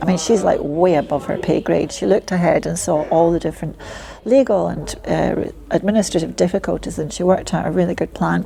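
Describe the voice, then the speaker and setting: A woman with a Scottish accent talks at a moderate pace against noticeable background noise. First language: Polish. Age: 60s. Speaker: community ambassador. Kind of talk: interview.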